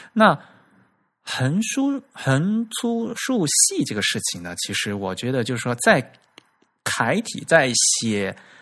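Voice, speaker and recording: A man with a fairly high pitch talks at a very slow pace, his voice making very wide pitch swings. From China, Fujian. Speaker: podcast host on typography. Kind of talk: casual chat. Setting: recorded audio podcast.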